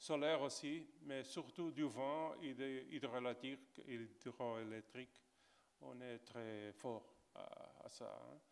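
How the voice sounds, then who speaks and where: At a very slow pace, a man talks in a medium pitch with fairly even intonation but big swings in loudness. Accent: Portuguese. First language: Portuguese (speaking French). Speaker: geographer. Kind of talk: panel discussion. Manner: halting.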